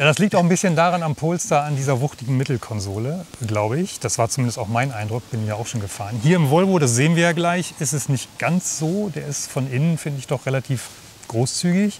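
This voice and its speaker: Light background noise sits under a dry, echo-free recording of a man talking at a fairly quick pace. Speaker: channel host, car reviewer. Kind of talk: casual conversational car review. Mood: cheerful, relaxed. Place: street. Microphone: lapel.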